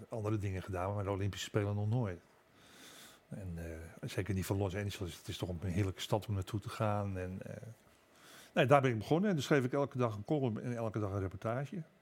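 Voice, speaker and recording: Speaking at a very fast pace, a man with a fairly low pitch comes through in a very clean recording with a silent background. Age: 70s. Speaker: newspaper columnist. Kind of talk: casual chat.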